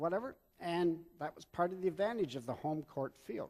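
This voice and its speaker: This man's voice sits at a high pitch. His intonation is lively and his pace moderate. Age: 70s. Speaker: pastor. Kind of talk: sermon. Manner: halting.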